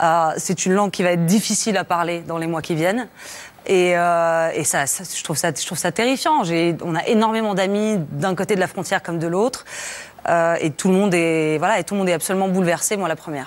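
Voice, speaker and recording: Fairly low in pitch, a woman speaks at a fairly quick pace. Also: ordinary pitch variation. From France. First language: Russian (speaking French). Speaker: journalist, documentary maker. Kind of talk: tv studio interview. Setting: tv studio. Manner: halting, many hesitations.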